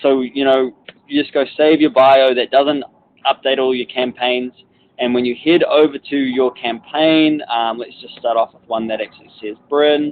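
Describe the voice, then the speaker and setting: A man's medium-pitched voice at a moderate pace, with big swings in loudness. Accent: New Zealand. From New Zealand. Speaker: corporate trainer. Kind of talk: webinar tutorial. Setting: outdoors on a balcony, online webinar. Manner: casual, filler-heavy.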